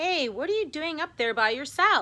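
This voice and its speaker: A woman speaks at a moderate pace in a high, squeaky voice. It is a put-on character voice. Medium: read story. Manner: cheerful.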